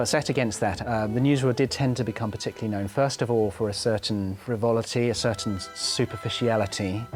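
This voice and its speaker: Music plays behind a man who speaks at a very fast pace and medium pitch, with fairly even intonation and hardly any pauses. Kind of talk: interview answer.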